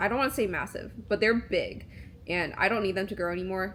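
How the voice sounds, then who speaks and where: A woman with vocal fry and fairly even intonation. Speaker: vlogger and videographer. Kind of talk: casual vlog voiceover. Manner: many filler words and pauses; casual, conversational.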